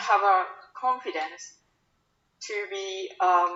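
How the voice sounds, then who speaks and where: A woman speaks with a Japanese accent. Her pitch is medium, with ordinary variation. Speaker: sales account manager. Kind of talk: invited talk. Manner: halting.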